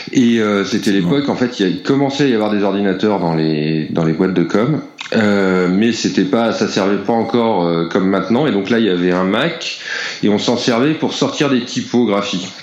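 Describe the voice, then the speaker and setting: Amid noticeable background noise and audible room echo, a man talks at a moderate pace with a fairly low pitch, ordinary pitch variation and very even loudness. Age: 40s. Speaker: comic book illustrator. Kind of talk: casual interview. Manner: halting.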